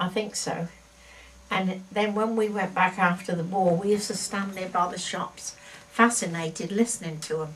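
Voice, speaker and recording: Over noticeable background noise, a woman of medium pitch talks at a moderate pace with fairly even intonation. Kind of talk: interview answer.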